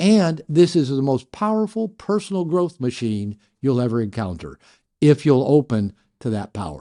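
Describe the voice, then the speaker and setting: Against a quiet background, a man with a medium-pitched voice and a dark, mellow tone makes very wide pitch swings and big swings in loudness. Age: 60s. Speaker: therapist. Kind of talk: casual chat. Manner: halting.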